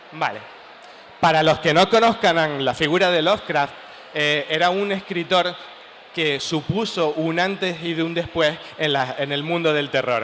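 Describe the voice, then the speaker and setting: A fairly high-pitched man with a Canarian accent, fairly slow pace and ordinary pitch variation, over noticeable background noise. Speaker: writer. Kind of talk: talk at a comic festival panel.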